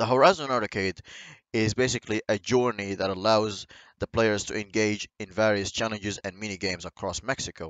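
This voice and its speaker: A man speaks at a fairly quick pace. His voice sits fairly low and shows ordinary pitch variation. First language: not English. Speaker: gaming YouTuber. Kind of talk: video game commentary. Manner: halting.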